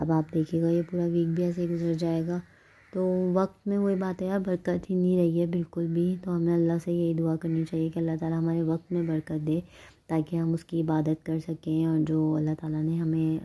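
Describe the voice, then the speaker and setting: Flat, monotone intonation runs through speech delivered at a moderate pace. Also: woman. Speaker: vlogger. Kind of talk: casual vlog chat. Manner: conversational with fillers.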